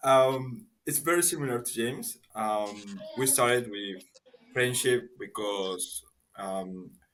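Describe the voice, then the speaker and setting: A man with a Spanish accent, medium pitch and lively intonation at a very slow pace. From Peru. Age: 20s. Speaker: marketing professional. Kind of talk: casual chat. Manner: halting.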